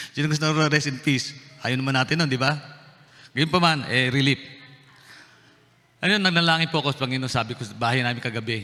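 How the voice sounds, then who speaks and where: A man talks at a very fast pace with medium pitch and ordinary pitch variation. His tone is bright and sharp, broken by long, frequent pauses. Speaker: pastor. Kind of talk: sermon. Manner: halting, repeats words.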